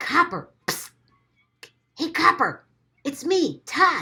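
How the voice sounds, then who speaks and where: A woman's put-on character voice at an extremely high pitch. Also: fairly slow pace. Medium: read story.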